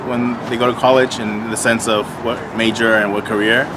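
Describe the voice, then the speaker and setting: Against noticeable background noise, a man at medium pitch speaks at a fairly quick pace. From Southern California, Lynwood. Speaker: city mayor. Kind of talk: interview. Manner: hesitant, many fillers and repeats.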